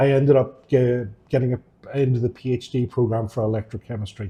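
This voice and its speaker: This man speaks with a Northern Irish accent at a moderate pace and medium pitch. His tone is dark and mellow, somewhat breathy, with ordinary pitch variation. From Northern Ireland, Downpatrick. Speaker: electrochemist. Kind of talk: interview.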